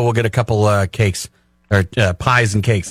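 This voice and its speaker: Somewhat breathy and fairly quick, the voice shows ordinary pitch variation on a very clean recording with a silent background. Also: man. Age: 50s. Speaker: radio co-host. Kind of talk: casual chat. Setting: radio studio.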